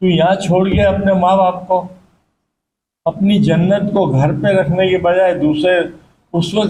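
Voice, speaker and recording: This man speaks at a high pitch. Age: 80s+. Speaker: charity volunteer and fundraiser. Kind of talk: speech to gathering.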